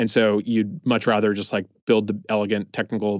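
A man with an American accent uses a plain, everyday voice, fairly low in pitch, at a moderate pace, with a dry, close sound and no echo on a very clean recording with a silent background. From US East Coast. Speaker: tech founder. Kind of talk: interview.

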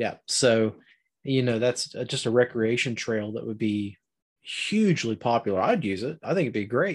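An unremarkable speaking voice from a man with an American accent, medium in pitch with ordinary variation, at a moderate pace over a quiet background. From southern Ohio, Appalachian. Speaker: outdoor podcaster. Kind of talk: casual chat.

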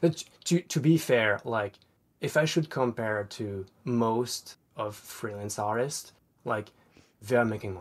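A man speaks at a fairly slow pace with medium pitch. His pitch varies in an ordinary way. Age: 20s. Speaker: aspiring comic artist. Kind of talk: personal advice session. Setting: online call. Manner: halting, repeats words.

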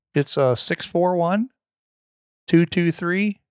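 In a very clean recording with a silent background, a man with an American accent speaks at a very slow pace with lively intonation. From Missouri, near St. Louis. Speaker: hunter and landowner. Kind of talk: casual chat. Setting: at guest's home property.

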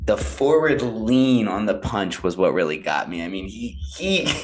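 Against a quiet background, a man with an American accent talks at a fairly slow pace in a fairly low pitch, his pitch swinging very widely. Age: 20s. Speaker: podcast co-host. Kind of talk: casual chat. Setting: remote online call.

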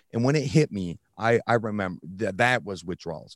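A man's unremarkable speaking voice, fairly quick, with lively intonation. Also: dry, close sound with no echo. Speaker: fitness coach in recovery. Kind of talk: interview storytelling. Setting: remote recording.

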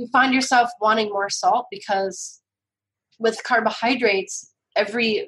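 A woman speaks at a moderate pace with fairly even intonation. Hers is an unremarkable speaking voice. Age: 40s. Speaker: cookbook author. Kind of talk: casual chat.

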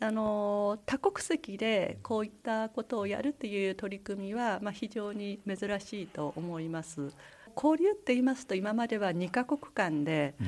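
A woman with a plain, everyday voice speaks at a medium pitch and a fairly slow pace, her intonation lively. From Japan, Aomori Prefecture (Misawa). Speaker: school principal, language education specialist. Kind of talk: radio interview. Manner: formal.

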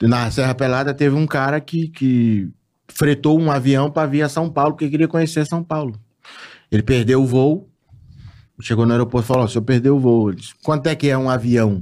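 Pausing long and often, a man talks at a moderate pace in a medium pitch with ordinary pitch variation. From Tocantins, Brazil. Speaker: announcer and internet voice personality. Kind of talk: casual chat. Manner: animated.

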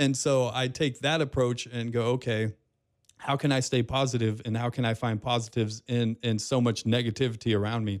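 A man with a medium-pitched voice talks at a fairly quick pace. His intonation stays monotone and flat. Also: very clean recording, silent background. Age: 40s. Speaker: radio host and podcaster. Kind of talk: casual interview. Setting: studio.

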